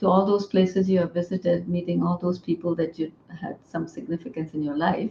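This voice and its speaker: Ordinary pitch variation in a Pakistani accent, over music in the background. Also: woman. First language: Urdu. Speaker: author and poet. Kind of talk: interview.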